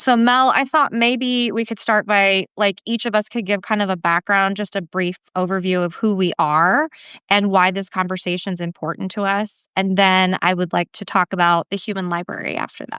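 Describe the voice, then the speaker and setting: A woman with an unremarkable speaking voice talks at a moderate pace, her medium pitch showing ordinary variation. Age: 40s. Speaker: writer and speaker. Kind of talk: casual chat. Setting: live video stream.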